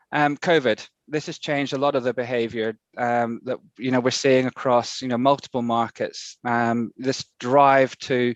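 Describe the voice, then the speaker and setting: A man with an English accent and medium pitch, flat and monotone, at a fairly slow pace, in a dry, close sound with no echo and a quiet background. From UK. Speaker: conference speaker. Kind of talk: conference presentation. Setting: video call.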